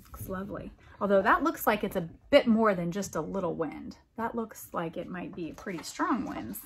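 With lively intonation and big swings in loudness, a woman speaks over light background noise. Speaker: school librarian reading to children. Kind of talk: children's picture-book storytime reading, with pauses to comment on the pictures. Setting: home video recording with pets or children audible in the background. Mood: warm, gentle, animated. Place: home room. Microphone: phone near.

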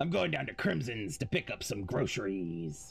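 Over music in the background, a man does a put-on character voice at a fairly low pitch and a moderate pace. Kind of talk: pirate speech.

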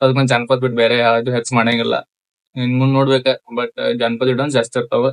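A man's voice, dry and close with no echo. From Chikkodi, Belagavi district, north Karnataka. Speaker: social media content creator. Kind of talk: casual Q&A with viewers.

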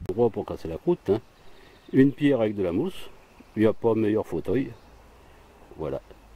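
A man at medium pitch speaks at a moderate pace with a dark, mellow, relaxed tone, long, frequent pauses and very wide pitch swings. The sound is dry, with no echo. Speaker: outdoor vlogger. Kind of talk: casual monologue to camera while eating. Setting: outdoors in a forest. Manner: relaxed, chatty with frequent hein and voilà. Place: forest. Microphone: phone near.

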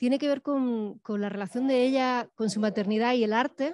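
Heard dry with no echo, a woman speaks at a moderate pace in a dark, mellow tone, her pitch high and varying in an ordinary way. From Spain. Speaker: moderator. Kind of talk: Q&A moderation. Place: stage. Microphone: handheld.

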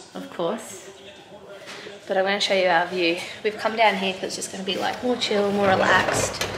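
A woman's voice with noticeable background noise. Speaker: athlete vlogger. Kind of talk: casual vlog chat. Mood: reflective, relaxed. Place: home room. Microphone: phone near.

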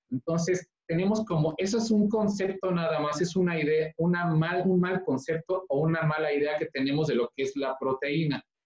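A man's voice with hardly any pauses, audible room echo and a quiet background. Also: moderate pace. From Mexico. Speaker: vegan recipe youtuber. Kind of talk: casual chat. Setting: video call. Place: kitchen. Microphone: video call.

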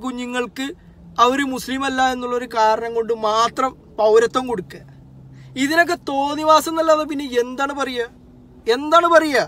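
In a dry sound with no echo, a man speaks at an extremely high pitch. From Kerala. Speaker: social media commentator. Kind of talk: political monologue to camera. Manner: animated. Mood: angry protest. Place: car. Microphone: phone near.

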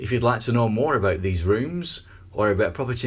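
A man's fairly low, somewhat breathy voice with ordinary pitch variation. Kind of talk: property tour narration. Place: home room. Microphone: phone near.

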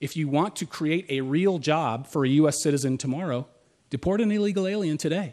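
An ordinary speaking voice from a man at a fairly quick pace, with ordinary pitch variation over a quiet background. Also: fairly high pitch for a man. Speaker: state official and lawyer, debater; lawyer, debater. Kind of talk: formal debate. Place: stage.

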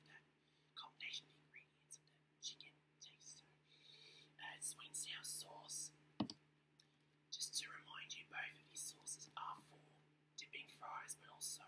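An Australian-accented woman whispers at a moderate pace, her loudness swinging widely and her pauses long and frequent. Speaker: ASMR eating vlogger. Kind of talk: ASMR eating and whispering. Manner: whispered. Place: home room. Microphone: webcam.

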